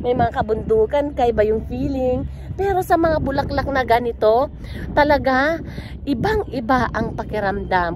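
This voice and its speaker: A woman's moderate-paced speech comes through with noticeable background noise. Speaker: travel vlogger. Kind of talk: casual vlog. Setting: outdoors in tulip field. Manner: animated.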